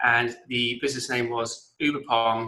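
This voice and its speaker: In an English accent, a man talks at a medium pitch with a bright, sharp tone and monotone, flat intonation. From England (Blackpool). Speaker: entrepreneur and author. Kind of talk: interview.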